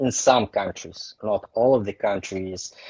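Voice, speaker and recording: With a strong Russian accent, a man speaks at a moderate pace using ordinary pitch variation. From Russia, Saint Petersburg. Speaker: photographer. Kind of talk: interview. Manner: halting.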